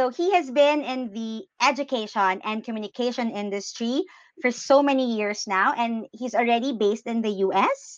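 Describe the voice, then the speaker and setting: A woman with a Filipino accent, fairly high pitch, ordinary pitch variation and moderate pace, over a quiet background. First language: Tagalog. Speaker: podcast host. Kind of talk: casual interview. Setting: video call.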